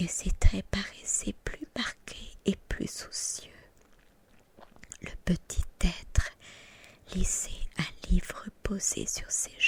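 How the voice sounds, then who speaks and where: Whispering comes at a very slow pace. Long, frequent pauses run throughout. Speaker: ASMR creator. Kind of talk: whispered ASMR book reading. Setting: home recording, studio microphone. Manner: whispered.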